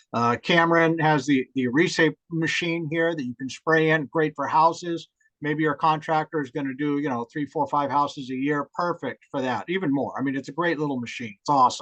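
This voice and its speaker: A man in a plain, everyday voice, fairly high in pitch, at a fairly quick pace with hardly any pauses and fairly even intonation, in a dry, close sound with no echo. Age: 60s. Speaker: hemp home builder, construction entrepreneur. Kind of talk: webinar talk, answering audience questions. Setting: live online talk, recorded.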